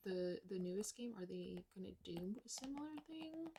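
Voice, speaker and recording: The voice is soft-spoken and somewhat breathy, with a dark, mellow tone. It moves at a fairly slow pace in a relaxed tone. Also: woman. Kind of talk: ASMR soft talking / rambling to camera. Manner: soft-spoken, quiet, relaxed.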